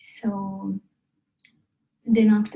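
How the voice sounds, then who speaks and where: Somewhat breathy, a woman's voice with a dark, mellow tone. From Sri Lanka, rural hill country. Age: 30s. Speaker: interviewee telling life story. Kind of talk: personal life story interview. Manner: halting, with fillers.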